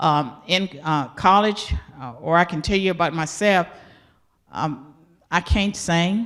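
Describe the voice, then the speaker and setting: An ordinary speaking voice with an American accent talks fairly slowly on a very clean recording with a silent background. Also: woman. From US South, rural. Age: 60s. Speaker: professor. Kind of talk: interview.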